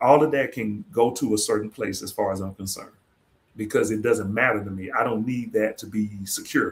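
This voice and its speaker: This is a man's voice. He speaks at a fairly quick pace. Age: 40s. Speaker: podcast host and former professor. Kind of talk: casual panel discussion. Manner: conversational, many filler phrases.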